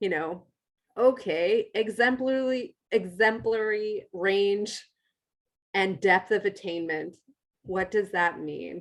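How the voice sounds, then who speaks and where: Very slowly, a woman speaks in an American accent. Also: medium pitch for a woman, ordinary pitch variation. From United States. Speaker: university educator, assessment specialist. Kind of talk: workshop lecture. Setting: room with live audience.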